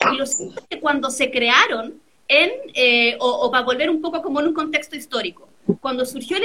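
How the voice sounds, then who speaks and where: A woman speaks in a raised, projected voice at a fairly quick pace. Her intonation is lively. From Chile, San Felipe (Aconcagua valley). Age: 30s. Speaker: constitutional lawyer. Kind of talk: interview.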